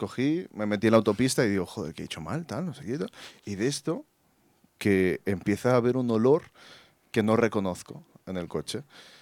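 In a very clean recording with a silent background, a man of medium pitch talks at a fairly quick pace, with very wide pitch swings and big swings in loudness. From Colombia. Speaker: photographer. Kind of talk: storytelling. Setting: stage with audience.

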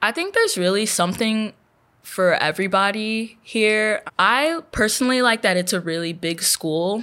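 In a very clean recording with a silent background, a woman with an American accent speaks at a moderate pace, her fairly high voice bright and sharp with lively intonation. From Texas, Houston. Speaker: undergraduate researcher. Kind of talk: interview.

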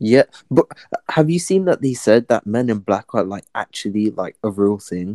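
With an English accent, a man speaks fairly low in a dark, mellow tone at a moderate pace, his intonation lively, the sound dry and close with no echo. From England. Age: 20s. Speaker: podcast guest. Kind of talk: casual chat. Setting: online video or voice chat.

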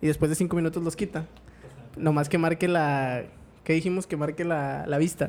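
Speech proceeds at a moderate pace. The background is silent and the recording very clean. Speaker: podcast co-host. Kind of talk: casual chat.

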